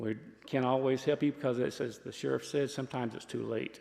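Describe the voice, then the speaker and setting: A man with a Southern US accent speaks at a medium pitch. His tone is dark and mellow, his intonation monotone and flat. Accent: Southern US (Georgia). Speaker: sheriff's office presenter on scam awareness. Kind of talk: public talk to a community audience. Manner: loud.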